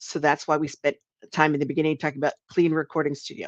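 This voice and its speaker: A very fast delivery in a New Jersey accent, against a quiet background, with dry, close sound and no echo. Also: woman. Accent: New Jersey American. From US Northeast, New Jersey. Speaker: podcast coach and trainer. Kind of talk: live webinar tutorial. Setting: live stream. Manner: casual, conversational.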